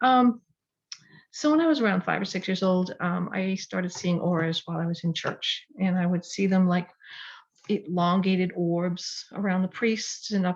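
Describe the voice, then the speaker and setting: At a moderate pace, the voice comes across somewhat breathy. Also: woman. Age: 60s. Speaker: spiritual teacher, video blogger. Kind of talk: casual personal storytelling to camera. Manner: hesitant, many fillers.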